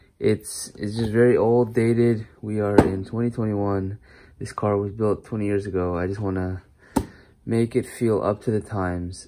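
Over noticeable background noise, a man with a fairly low pitch talks at a fairly slow pace in a monotone, flat delivery. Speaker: car hobbyist vlogger. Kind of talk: casual vlog chat. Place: garage. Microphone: phone near.

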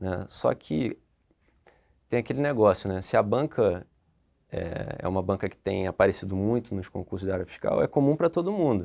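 A man speaks at a moderate pace in a fairly low pitch, with a dark, mellow tone and lively intonation. Long, frequent pauses stand out against a quiet background. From Niterói, Rio de Janeiro, Brazil; Rio de Janeiro, Brazil. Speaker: tax auditor; candidate. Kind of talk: interview. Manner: halting. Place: studio. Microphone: lapel.

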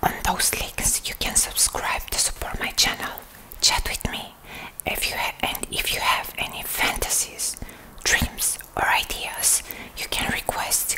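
A soft-spoken woman whispering at a fairly slow pace over noticeable background noise. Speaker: content creator. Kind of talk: casual to-camera chat. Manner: soft ASMR whisper to camera. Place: home room.

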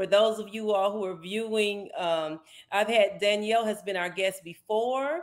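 Warm, enthusiastic tone with an American accent, at a fairly slow pace against a quiet background. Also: woman. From Maryland. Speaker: pastor. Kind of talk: interview segment; interview host talk. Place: home room. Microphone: video call.

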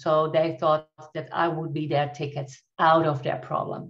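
A woman speaks with a Dutch accent against a quiet background. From Netherlands. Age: 50s. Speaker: coach and trainer. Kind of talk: interview, nonnative English. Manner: halting, searching for words. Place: home room. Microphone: video call.

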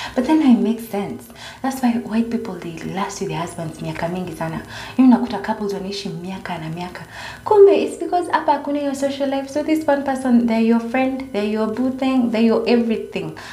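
A woman speaks with lively intonation at a fairly high pitch, and the room echo is audible. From Kenya, Nairobi. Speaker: vlogger. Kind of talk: casual vlog monologue. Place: home room. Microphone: phone near.

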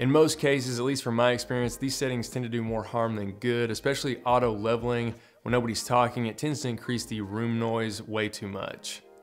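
The talking goes along at a fairly quick pace. Behind it, music is playing. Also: man. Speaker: video tutorial host. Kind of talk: tutorial. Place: home room.

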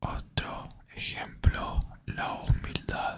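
Very slowly, a man whispers his words. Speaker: ASMR creator. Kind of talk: ASMR motivational talk to listener. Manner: whispered. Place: home room.

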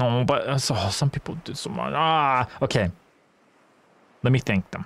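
A man speaks at a moderate pace and medium pitch, with vocal fry. His intonation is lively and the sound is dry and close, with no echo. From Australia. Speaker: streamer. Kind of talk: casual chat. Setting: live stream. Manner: halting.

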